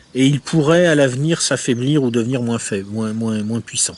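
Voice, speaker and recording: With noticeable background noise around him, a man talks at a medium pitch and uses ordinary pitch variation. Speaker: essayist reviewing a book. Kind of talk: book review monologue. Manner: hesitant, many filler words.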